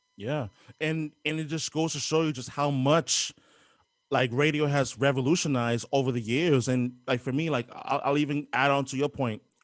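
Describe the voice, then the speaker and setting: A man with a New York accent, fairly high-pitched and fairly even in intonation, at a moderate pace on a very clean recording with a silent background. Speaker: podcast host. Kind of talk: podcast interview.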